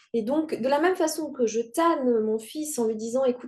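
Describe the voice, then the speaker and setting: Talking at a fairly quick pace, a woman has a high pitch, lively intonation and a dark, mellow tone. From Rwanda. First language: Kinyarwanda (speaking French). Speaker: writer. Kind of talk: interview. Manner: halting.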